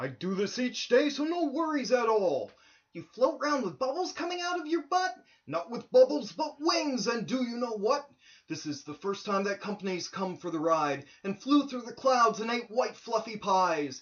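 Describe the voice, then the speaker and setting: The pace stays moderate. It is delivered in a put-on character voice. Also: man, extremely high pitch for a man. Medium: read story. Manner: gentle, earnest.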